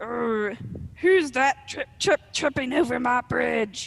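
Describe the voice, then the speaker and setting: In a put-on character voice, fairly high in pitch, gravelly and growling, the words come at a very slow pace. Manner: menacing growl.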